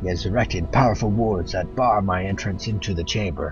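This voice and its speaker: A man puts on a booming character voice, fairly low in pitch, speaking at a moderate pace over loud music in the background. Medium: game stream. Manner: solemn, archaic.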